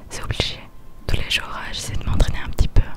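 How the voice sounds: Whispering is what this woman does as she speaks.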